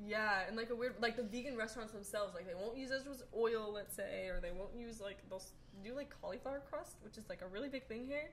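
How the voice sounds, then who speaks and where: Talking very fast, a woman with a fairly high pitch and ordinary pitch variation comes through over noticeable background noise. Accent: American. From New York. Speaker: podcast guest. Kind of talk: casual chat.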